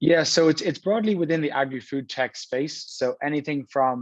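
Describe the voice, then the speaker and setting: A man with an Irish accent talks at a fairly quick pace against a quiet background, the sound dry and close with no echo. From Ireland, Dublin. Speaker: venture capital investor. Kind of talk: panel discussion.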